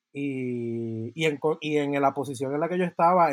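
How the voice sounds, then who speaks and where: Recorded very cleanly against a silent background, a man with a normal speaking voice talks at a fairly high pitch with fairly even intonation. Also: dry, close sound with no echo. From Puerto Rico (Yauco). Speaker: composer and podcast co-host. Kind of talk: interview.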